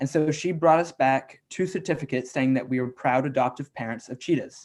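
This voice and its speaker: This man has an unremarkable speaking voice with an American accent. His pitch is fairly high, with ordinary pitch variation. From US South, Atlanta, Georgia. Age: 20s. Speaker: youth environmental activist. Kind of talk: online presentation.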